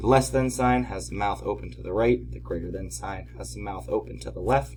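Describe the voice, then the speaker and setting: Over music in the background, a man talks at a fairly quick pace, with audible room echo. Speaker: math teacher. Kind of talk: tutorial. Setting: at home.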